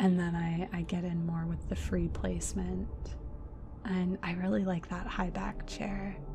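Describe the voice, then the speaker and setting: A woman speaks softly. Music plays in the background. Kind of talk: relaxing game build commentary. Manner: soft-spoken.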